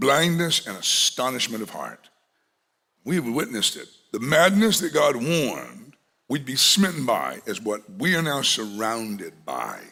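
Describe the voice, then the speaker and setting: A man talks at a fairly slow pace with vocal fry and a bright, sharp tone. His fairly high pitch swings very widely, and his loudness shifts a lot. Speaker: pastor. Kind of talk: sermon.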